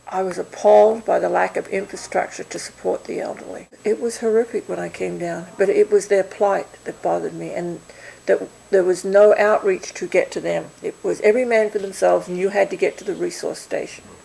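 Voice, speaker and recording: Noticeable background noise runs under a woman who speaks at a fairly quick pace. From Australia. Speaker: volunteer organizer. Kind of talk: interview.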